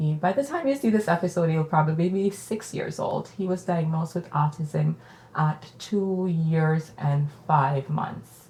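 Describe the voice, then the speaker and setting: A woman speaks at a fairly slow pace in a Jamaican accent, her pitch fairly low with ordinary variation. Noticeable background noise sits behind her. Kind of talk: casual conversational podcast interview.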